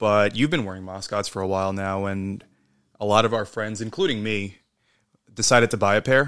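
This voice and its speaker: In a very clean recording with a silent background, a man with an ordinary speaking voice talks at a fairly quick pace, his pitch fairly low and his intonation fairly even. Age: 30s. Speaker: podcast co-host. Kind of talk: casual chat.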